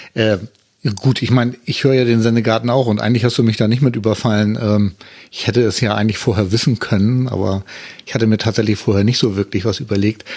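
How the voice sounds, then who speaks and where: At a very fast pace, a man talks at medium pitch with fairly even intonation. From northern Germany, Hamburg area. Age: 50s. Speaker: podcaster, wheelchair user. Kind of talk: casual chat.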